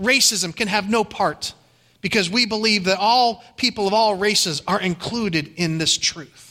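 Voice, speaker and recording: Very slowly, a man projects a raised, high-pitched voice with a bright, sharp tone and ordinary pitch variation. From Ohio. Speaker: pastor. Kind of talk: sermon.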